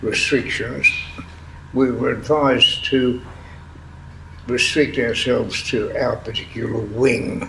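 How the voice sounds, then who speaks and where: Over noticeable background noise, a man with an Australian accent speaks at a very slow pace with long, frequent pauses. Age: 80s+. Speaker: retired minister. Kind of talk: interview answer. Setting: indoor room with air conditioning noise.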